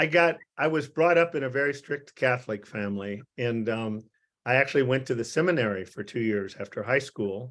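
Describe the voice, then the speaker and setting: The speaker has a Midwestern American accent. The pace is moderate, with ordinary pitch variation. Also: man. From US Midwest. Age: 80s+. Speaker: psychiatrist. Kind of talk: interview. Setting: video call. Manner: halting.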